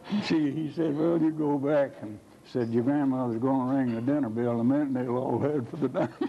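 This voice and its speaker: Using an Appalachian accent, a man talks at a fairly quick pace with a medium pitch and fairly even intonation. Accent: Appalachian Southern. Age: 80s+. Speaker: electric cooperative board president. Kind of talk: telling a joke.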